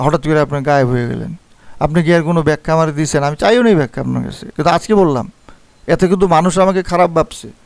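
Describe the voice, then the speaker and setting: His fairly high-pitched voice shows ordinary pitch variation as the man speaks. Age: 50s. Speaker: forex trading teacher. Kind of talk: video monologue, response to criticism.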